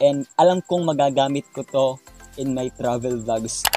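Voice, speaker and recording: A man speaks with ordinary pitch variation in a dry, echo-free sound while clear music plays in the background. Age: 20s. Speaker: vlogger. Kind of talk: unboxing vlog. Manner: animated.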